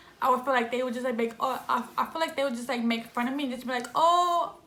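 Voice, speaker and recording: Fairly high in pitch, a woman speaks with ordinary pitch variation, heard with audible room echo and noticeable background noise. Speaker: vlogger. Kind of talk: casual chat. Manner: fast; stuttering.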